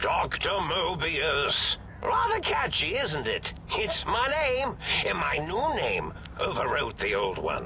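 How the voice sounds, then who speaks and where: A put-on character voice moves at a fairly slow pace over loud background noise. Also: man. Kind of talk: eccentric comic villain. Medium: machinima. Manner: rambling, giggly, easily distracted.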